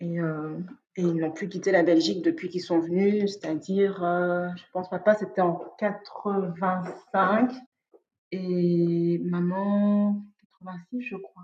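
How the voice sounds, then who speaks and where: Speaking very slowly at a medium pitch, a woman keeps her intonation fairly even while her loudness swings a lot. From Belgium, Liège. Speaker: interview guest sharing personal story. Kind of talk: casual interview chat. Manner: hesitant, many fillers and repetitions.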